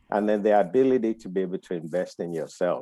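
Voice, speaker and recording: A man's very deep, low pitch and dark, mellow tone, dry and close with no echo, on a very clean recording with a silent background. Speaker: security institute founder, mentor. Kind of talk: panel discussion. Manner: soft-spoken.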